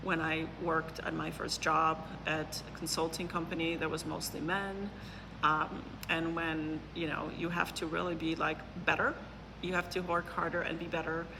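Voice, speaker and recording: Pitched fairly low, a woman speaks in a flat monotone at a fairly slow pace. The room has audible echo and noticeable background noise. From Poland. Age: 40s. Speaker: neuroscientist and business consultant. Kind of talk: interview. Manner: hesitant, many fillers.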